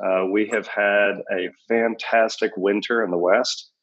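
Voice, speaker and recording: The voice is an ordinary speaking voice with fairly even intonation. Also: man. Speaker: company CEO. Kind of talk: casual interview.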